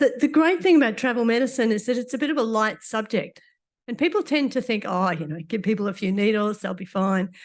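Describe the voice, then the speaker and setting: This voice moves at a very fast pace with an Australian accent. The background is quiet. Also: woman, fairly high pitch for a woman, lively intonation. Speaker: doctor giving a conference talk. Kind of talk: lecture.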